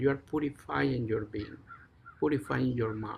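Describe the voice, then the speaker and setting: A man at medium pitch with a Mexican accent, somewhat breathy, at a moderate pace with fairly even intonation. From Mexico. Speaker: Zen teacher. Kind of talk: dharma talk.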